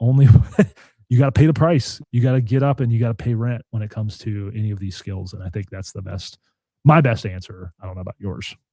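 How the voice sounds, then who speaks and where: Speaking at a very fast pace, a man with a medium-pitched, dark, mellow, somewhat breathy voice shows big swings in loudness, in a dry, close sound with no echo. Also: ordinary pitch variation. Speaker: podcast host. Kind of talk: casual chat. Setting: live stream. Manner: soft-spoken.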